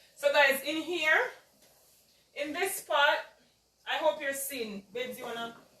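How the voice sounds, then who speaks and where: Raising and projecting her high-pitched voice, a woman speaks at a fairly slow pace with ordinary pitch variation and long, frequent pauses. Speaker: home cooking video host. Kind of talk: cooking tutorial. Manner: casual, chatty.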